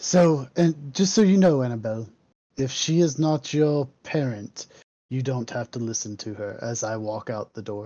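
With a plain, everyday voice, a medium-pitched man talks at a moderate pace, his intonation lively and his loudness swinging widely. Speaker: tabletop roleplaying game player. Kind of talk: tabletop roleplaying game, in-character chat.

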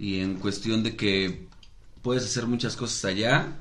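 A man is speaking. There is audible room echo. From Mexico. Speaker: podcast co-host. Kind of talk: casual chat. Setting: studio.

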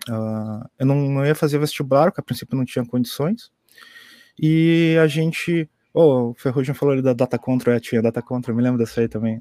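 Speaking at a fairly quick pace, a man with a medium pitch and a dark, mellow tone uses ordinary pitch variation, recorded very cleanly against a silent background with a dry, close sound and no echo. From Pelotas, southern Brazil. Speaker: IT university staff / developer. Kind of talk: casual chat. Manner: halting.

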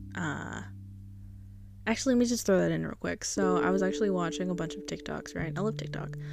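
Talking very fast, a woman is heard through audible room echo and noticeable background noise. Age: 20s. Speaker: solo podcaster. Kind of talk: casual personal monologue. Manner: chatty, laughs often.

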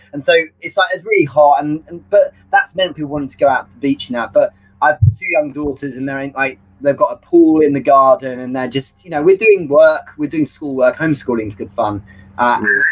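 His speech comes fairly quickly. The man's volume shifts in big swings. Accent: British. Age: 40s. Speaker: sales trainer. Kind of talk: casual interview. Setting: live video stream.

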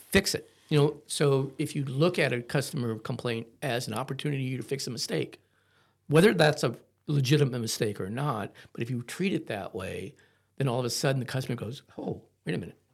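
A man with an American accent talks at a fairly quick pace, somewhat breathy and with ordinary pitch variation. The recording is very clean with a silent background. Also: medium pitch for a man. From Ohio, US Midwest. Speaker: florist, family business owner. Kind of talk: podcast interview.

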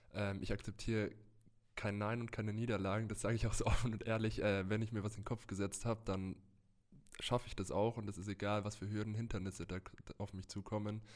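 A man with a fairly low pitch talks at a very fast pace in a monotone, flat delivery. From Germany, Würzburg (Lower Franconia). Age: 20s. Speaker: American football player. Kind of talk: interview.

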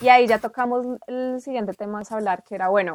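An ordinary speaking voice with fairly even intonation comes through with a dry, close sound that has no echo. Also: woman. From Colombia, Bogotá. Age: 20s. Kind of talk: casual conversation.

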